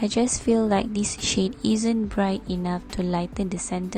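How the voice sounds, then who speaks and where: Music is playing behind a woman's voice. Her delivery moves at a moderate pace. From Malaysia. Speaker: beauty youtuber. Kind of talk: makeup tutorial voiceover.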